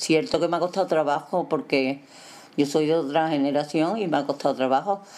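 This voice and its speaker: A woman speaks at a fairly quick pace with a very deep, low pitch and ordinary pitch variation. Her loudness stays very even. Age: old. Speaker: grandmother. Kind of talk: casual chat.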